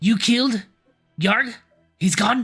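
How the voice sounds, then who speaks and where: A man puts on a raspy character voice, pitched high. Faint music plays in the background. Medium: actual play. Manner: calculating, haggling.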